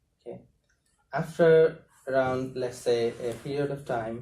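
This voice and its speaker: At a medium pitch with ordinary variation, a man talks in a dark, mellow tone that is somewhat breathy. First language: not English. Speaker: asylum seeker and activist. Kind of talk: talk to a university class. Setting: university classroom. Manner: hesitant, with fillers.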